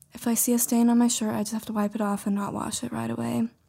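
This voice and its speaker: A woman with an American accent talks at a very fast pace. Her fairly high voice stays monotone and flat. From Montana. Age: 20s. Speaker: mailroom worker. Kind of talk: casual chat.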